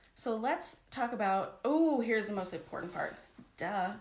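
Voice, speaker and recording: Her tone animated and her intonation lively, a woman speaks at a medium pitch with audible room echo. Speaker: life coach. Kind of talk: live stream coaching talk. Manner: fast.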